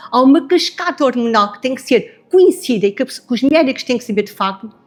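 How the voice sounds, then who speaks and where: The tone is animated. Words come at a very fast pace. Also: woman, high pitch for a woman, lively intonation, big swings in loudness. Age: 60s. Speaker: medical doctor. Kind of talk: panel discussion.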